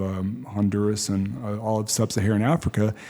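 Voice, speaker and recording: A man's fairly low, dark, mellow voice with an American accent at a moderate pace. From West Texas. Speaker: school principal. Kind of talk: podcast interview. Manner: halting.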